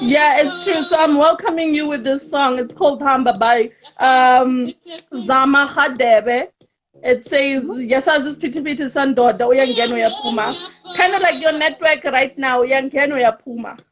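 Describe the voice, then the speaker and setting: High pitch from a woman, with ordinary variation in pitch. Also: moderate pace. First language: Tsonga. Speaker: talk show host. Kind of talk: casual chat.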